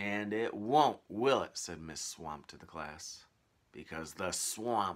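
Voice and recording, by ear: A text is read aloud. The voice sounds natural.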